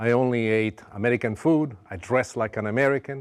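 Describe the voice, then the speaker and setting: In an Italian accent, a man speaks at medium pitch and a fairly quick pace with fairly even intonation. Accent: Italian accent often mistaken for New York. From Sicily, Italy. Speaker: cooking show host. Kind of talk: cooking show talk with personal story. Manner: warm, heartfelt.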